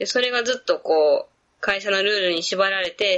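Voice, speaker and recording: At a moderate pace, a woman with a Kansai accent speaks at a medium pitch with ordinary pitch variation. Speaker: physical therapist. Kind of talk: interview conversation.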